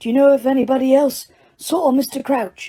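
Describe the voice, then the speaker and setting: A woman uses a put-on character voice at a high pitch, talking at a fairly quick pace. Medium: read story. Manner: calm, brisk.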